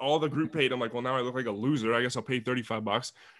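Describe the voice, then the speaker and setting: The speaker talks very fast with a Canadian accent. Pitch varies in an ordinary way. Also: man. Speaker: podcast host and university student. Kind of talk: casual chat. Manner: animated.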